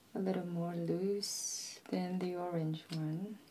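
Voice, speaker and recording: The pace is very slow throughout. This speaker is soft-spoken. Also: woman. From Shanghai, China. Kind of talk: ASMR puzzle solving, casual commentary.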